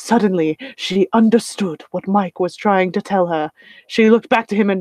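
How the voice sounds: Here the delivery is a natural reading voice.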